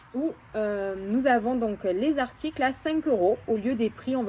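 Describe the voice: Marked by lively intonation and a high pitch, a woman speaks with a Marseille accent over noticeable background noise.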